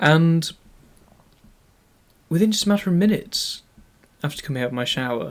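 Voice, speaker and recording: Someone with a British accent talks at a fairly quick pace with lively intonation and long, frequent pauses. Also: man, high pitch for a man. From UK. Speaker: YouTuber. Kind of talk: scripted narration.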